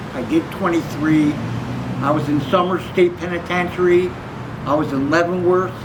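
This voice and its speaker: Over noticeable background noise and audible room echo, a man with a high pitch speaks at a moderate pace, with fairly even intonation and long, frequent pauses. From Bridgeport, Connecticut. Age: 60s. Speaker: former prisoner and passer-by. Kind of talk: street interview.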